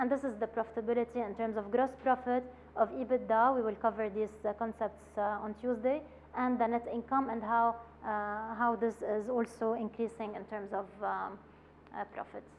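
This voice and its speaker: A woman speaks with a fairly high pitch. Her intonation stays flat and monotone. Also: moderate pace. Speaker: business training presenter. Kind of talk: workshop lecture presenting slides. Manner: hesitant with many filler sounds.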